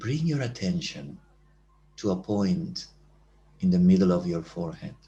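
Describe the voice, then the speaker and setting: A man's very deep, low, somewhat breathy voice, dark and mellow in tone, with lively intonation and long, frequent pauses. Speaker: meditation teacher. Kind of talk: guided meditation; talk. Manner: slow.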